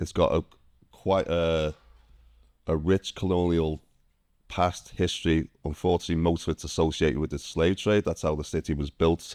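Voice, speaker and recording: Speaking with a Liverpool accent, a man with a very deep, low voice talks at a moderate pace in a monotone, flat delivery with long, frequent pauses, on a very clean recording with a silent background and a dry, close sound with no echo. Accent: Liverpool (Scouse) English. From northern England, Liverpool. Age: 50s. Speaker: ex-military immigrant. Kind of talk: interview.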